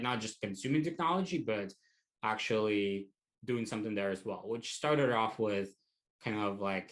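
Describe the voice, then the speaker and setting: Fairly low in pitch, a man speaks at a moderate pace with ordinary pitch variation. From Russia, small town. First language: Russian. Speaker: tech educator. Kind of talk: interview. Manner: hesitant, many fillers.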